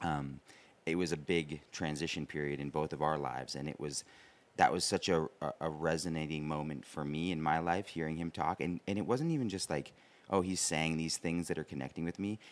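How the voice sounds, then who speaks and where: Talking at a fairly quick pace, a man uses a very deep, low pitch and fairly even intonation. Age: 30s. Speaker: podcast co-host. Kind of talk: casual interview conversation.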